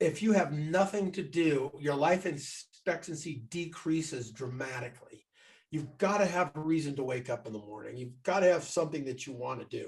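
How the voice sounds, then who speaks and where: Somewhat breathy, the voice shows big swings in loudness and ordinary pitch variation. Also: man, fairly high pitch for a man, moderate pace. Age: 60s. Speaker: entrepreneur. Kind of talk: interview.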